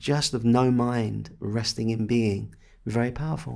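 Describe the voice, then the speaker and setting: The man speaks in an English accent at a medium pitch. His pace is fairly slow. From England. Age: 50s. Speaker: spiritual teacher. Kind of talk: guided meditation; interview conversation.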